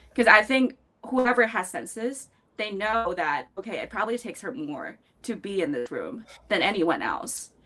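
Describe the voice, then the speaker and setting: Her pitch swings up and down very widely. The woman keeps up a fairly quick pace. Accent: Chinese. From China, Beijing. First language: Chinese. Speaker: fintech professional, panelist. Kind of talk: panel discussion.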